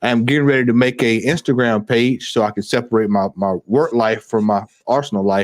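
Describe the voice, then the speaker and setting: With a Southern US accent, a man at medium pitch talks at a fairly quick pace with hardly any pauses, very even loudness and fairly even intonation. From US South, Georgia. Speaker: football fan YouTuber. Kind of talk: live stream chat.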